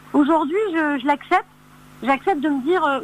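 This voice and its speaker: A woman is talking at a fairly quick pace. Her pitch varies in an ordinary way. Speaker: singer. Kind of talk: interview. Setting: phone call.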